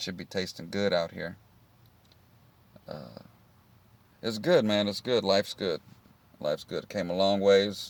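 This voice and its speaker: Relaxed in tone, a man with a Texan accent speaks fairly slowly at a fairly low pitch, with fairly even intonation. His loudness swings widely, and he takes long, frequent pauses. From Texas, Houston area. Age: 30s. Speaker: vlogger. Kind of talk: casual vlog monologue.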